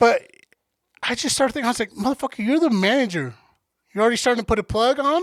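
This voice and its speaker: Loud and very fast, the speech has ordinary pitch variation, long, frequent pauses and a dry, close sound with no echo. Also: man, extremely high pitch for a man. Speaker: podcast co-host. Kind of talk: casual chat.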